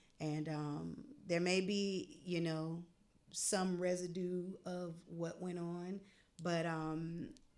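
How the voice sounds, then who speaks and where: A woman speaks with fairly even intonation. Her voice is heard with audible room echo. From North Carolina. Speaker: jazz vocalist and educator. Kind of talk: interview.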